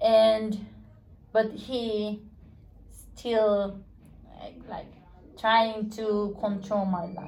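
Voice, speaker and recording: A woman at a fairly high pitch with a Spanish accent, monotone and flat, at a very slow pace with long, frequent pauses and audible room echo. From Guatemala. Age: 20s. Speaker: Spanish teacher. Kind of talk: casual interview. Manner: halting.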